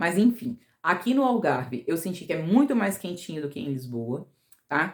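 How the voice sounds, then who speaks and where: A woman with a fairly low voice talks at a moderate pace. Her pitch swings very widely and her loudness shifts in big swings. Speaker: vlogger. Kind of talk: casual vlog talk.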